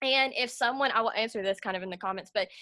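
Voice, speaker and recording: A woman speaks in a high pitch with a bright, sharp tone. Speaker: network marketing team leader. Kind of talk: tutorial. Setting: video call. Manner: fast; casual, lots of fillers.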